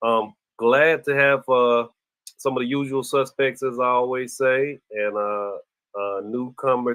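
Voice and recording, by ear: With little pitch movement, a man talks at a medium pitch in a fairly bright tone.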